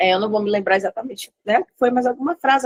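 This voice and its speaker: With a dry, close sound and no echo, a woman talks at a very fast pace and a high pitch. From Bahia, Brazil. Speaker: study group member. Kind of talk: group video call testimony. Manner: hesitant.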